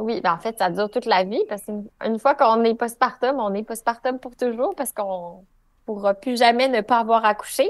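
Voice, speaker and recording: A woman with a Quebec accent talks at a fairly quick pace and a fairly high pitch, with ordinary pitch variation against a quiet background. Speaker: pelvic physiotherapist. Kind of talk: podcast interview.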